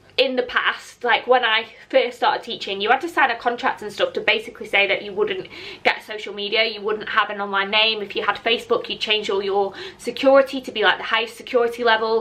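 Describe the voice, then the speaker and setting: Amid noticeable background noise, a woman with a northern English accent speaks in an animated tone at a fairly high pitch with ordinary pitch variation. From northern England, Lancashire. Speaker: content creator, former teacher. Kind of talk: casual chat. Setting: outdoors.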